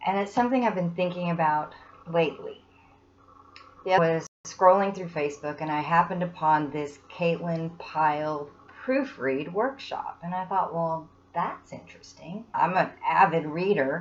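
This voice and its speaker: At a moderate pace, a normal speaking voice shows big swings in loudness. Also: woman. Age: 60s. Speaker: student giving testimonial. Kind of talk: testimony.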